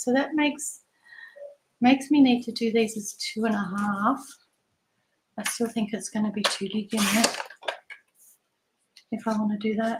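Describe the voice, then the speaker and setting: A woman speaks with an Australian accent at a fairly high pitch. Her pace is moderate and her intonation fairly even. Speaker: papercraft product demonstrator. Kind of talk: casual live craft demonstration.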